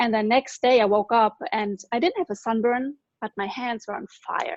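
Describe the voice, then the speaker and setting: With a German accent, a woman speaks at a moderate pace, her fairly high pitch showing ordinary variation. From Germany. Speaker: former physical therapist, network marketer. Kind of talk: personal testimony.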